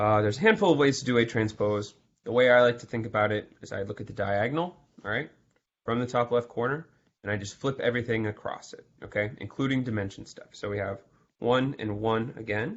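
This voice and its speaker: His volume rises and falls sharply. The man speaks rather quickly. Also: ordinary pitch variation. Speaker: math tutor. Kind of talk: exam review lecture. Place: home room. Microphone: video call.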